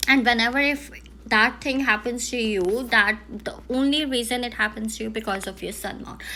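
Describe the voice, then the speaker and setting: A woman with an Indian accent speaks at a moderate pace, her pitch fairly high and her tone bright and sharp. Her intonation stays fairly even, while her loudness swings widely. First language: Hindi. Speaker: palm reader. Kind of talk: palm reading analysis. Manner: halting.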